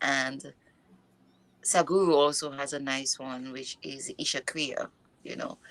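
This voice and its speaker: The speaker has a non-native accent and talks at a very slow pace. Pitch varies in an ordinary way. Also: woman. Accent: noticeable non-native. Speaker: mindfulness and yoga coach. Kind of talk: interview. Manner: halting.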